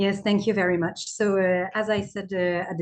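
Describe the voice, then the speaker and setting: The pace stays moderate. The woman talking has a French accent. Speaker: aid country director. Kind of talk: webinar panel talk. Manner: halting.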